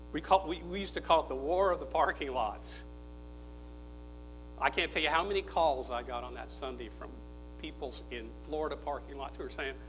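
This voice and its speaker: A man talks at a fairly quick pace, with big swings in loudness and long, frequent pauses. Audible room echo surrounds his voice. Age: 60s. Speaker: political speaker and former philosophy professor. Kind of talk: conference speech. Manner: animated.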